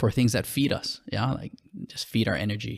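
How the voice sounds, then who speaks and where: A man with a Hawaiian accent speaks at a fairly low pitch, with vocal fry in his voice. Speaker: school administrator and apparel entrepreneur. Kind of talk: casual interview.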